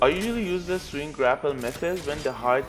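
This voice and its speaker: A man at a fairly quick pace, with audible room echo and music in the background. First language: not English. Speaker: gaming video creator. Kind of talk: tutorial.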